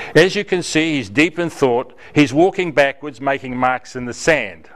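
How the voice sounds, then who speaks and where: A man talks at a moderate pace in a fairly high voice with ordinary pitch variation, and noticeable background noise is present. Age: 80s+. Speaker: mentor volunteer. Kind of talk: speech to a club.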